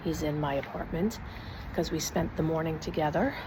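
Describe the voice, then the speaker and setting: A woman whispers at a moderate pace amid noticeable background noise and audible room echo. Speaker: vlogger. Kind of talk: casual vlog. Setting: outdoors on patio. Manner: whispering.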